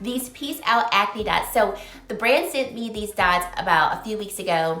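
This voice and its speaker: In an animated tone, a woman with a fairly high pitch speaks at a moderate pace amid audible room echo and noticeable background noise. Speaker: beauty vlogger and consultant. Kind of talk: casual product review vlog. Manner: chatty, animated.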